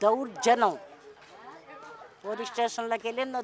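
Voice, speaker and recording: A woman talks in a high voice against noticeable background noise. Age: 60s. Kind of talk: street interview answer.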